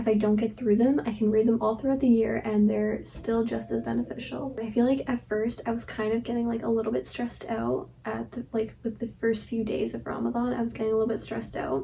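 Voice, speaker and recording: Soft-spoken, a woman talks at a fairly quick pace with hardly any pauses against noticeable background noise. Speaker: vlogger. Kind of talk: casual vlog chat. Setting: childhood bedroom at night. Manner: soft-spoken, talking quietly. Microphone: recording may be too quiet.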